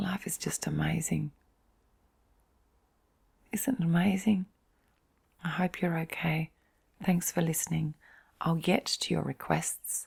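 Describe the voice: Slow and fairly even in intonation, the voice has a husky, rough edge and vocal fry, with long, frequent pauses. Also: woman, low pitch for a woman.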